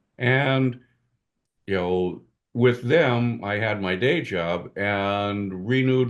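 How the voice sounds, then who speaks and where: Against a quiet background, a man speaks with a fairly low pitch and ordinary pitch variation. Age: 70s. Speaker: comic book writer and editor. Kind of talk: interview. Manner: halting, many fillers.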